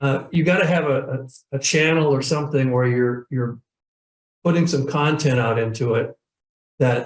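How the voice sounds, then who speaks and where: A man speaks with a fairly high pitch, slightly breathy, and with ordinary pitch variation. He leaves long pauses, and they come often. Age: 70s. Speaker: professional speaker and sales trainer. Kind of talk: interview. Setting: webinar video call. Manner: halting, many repeated words.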